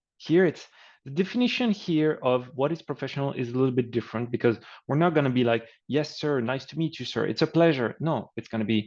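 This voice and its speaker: A man with a French accent, fairly high-pitched, lively in intonation, at a fairly quick pace. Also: quiet background. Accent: French accent, reduced. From France. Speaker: career coach. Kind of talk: webinar presentation. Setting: online webinar, screen sharing. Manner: casual, conversational.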